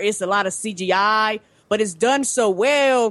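A fairly high-pitched woman's voice against a quiet background. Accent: Southern US. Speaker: podcaster.

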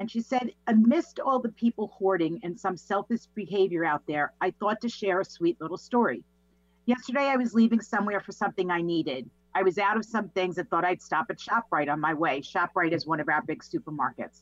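In a New York accent, a woman speaks with lively intonation. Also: medium pitch for a woman, fairly quick pace. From Long Island, New York. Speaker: positivity coach and business owner. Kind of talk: casual interview. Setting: video call.

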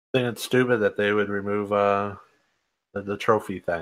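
The recording is very clean, with a silent background. A man speaks at a moderate pace and a medium pitch. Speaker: podcast panelist. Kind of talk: casual chat.

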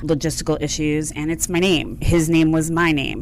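A woman speaks at a moderate pace with a very deep, low pitch. Noticeable background noise and audible room echo surround her voice. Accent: American. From outside Philadelphia. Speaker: consulting firm CEO and founder. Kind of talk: radio interview.

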